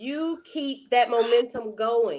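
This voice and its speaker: Animated in tone, a woman speaks at a fairly high pitch with ordinary pitch variation. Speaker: online marketer and content creator. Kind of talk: interview. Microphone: wired headphones with built-in mic.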